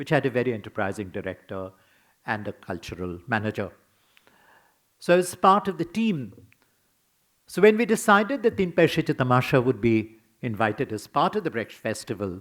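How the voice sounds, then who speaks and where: In a very clean recording with a silent background, a man with a Bengali accent speaks at a moderate pace and medium pitch, using very wide pitch swings and long, frequent pauses. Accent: Bengali Indian English. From Bengal, India. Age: 80s+. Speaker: scholar and theatre critic. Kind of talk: memorial lecture.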